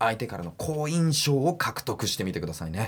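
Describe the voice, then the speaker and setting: A man talks with very wide pitch swings. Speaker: voice trainer. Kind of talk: tutorial.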